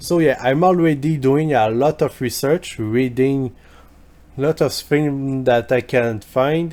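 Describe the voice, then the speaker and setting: A man talks fairly slowly in a French accent, his pitch varying in an ordinary way. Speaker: history youtuber. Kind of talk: video commentary reply. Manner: halting, with fillers.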